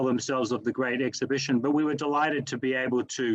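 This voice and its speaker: A man with an Australian accent speaks at a fairly high pitch. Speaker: museum director. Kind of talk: panel discussion. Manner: halting, many fillers.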